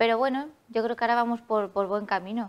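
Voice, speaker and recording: A woman speaks with a fairly high pitch and fairly even intonation in an ordinary speaking voice. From Alicante, Spain; Spain. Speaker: festival queen; interview guest. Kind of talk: TV interview. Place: studio. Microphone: lapel.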